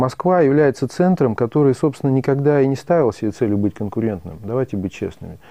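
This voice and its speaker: A man with an unremarkable speaking voice, medium pitch, lively intonation and a fairly quick pace. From Russian Caucasus. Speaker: retail entrepreneur. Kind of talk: interview.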